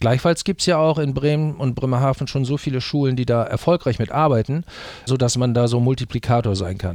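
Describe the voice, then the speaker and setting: A man with a medium pitch and ordinary pitch variation speaks at a very fast pace. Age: 60s. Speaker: teacher and exchange program advisor. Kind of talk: interview. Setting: studio. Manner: hesitant, many fillers.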